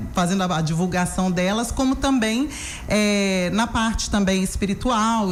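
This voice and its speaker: A woman speaks with a Minas Gerais accent. Noticeable background noise and audible room echo come through. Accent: Minas Gerais Brazilian Portuguese. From Minas Gerais, Brazil (Belo Horizonte). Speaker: therapist and educator. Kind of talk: radio interview.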